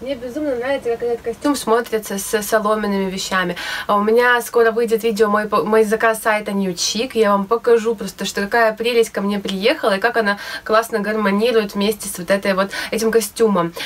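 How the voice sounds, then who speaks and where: This woman's voice sits fairly high in pitch, moving at a fairly quick pace with fairly even intonation. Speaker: DIY sewing vlogger; DIY fashion vlogger. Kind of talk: casual tutorial vlog. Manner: hesitant with fillers. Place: home room. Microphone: phone near.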